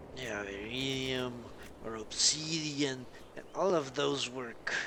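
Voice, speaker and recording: A man with a South American accent speaks very slowly at a medium pitch with ordinary variation, and room echo is audible. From Colombia. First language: Spanish. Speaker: gaming streamer. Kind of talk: live gameplay commentary. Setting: live stream.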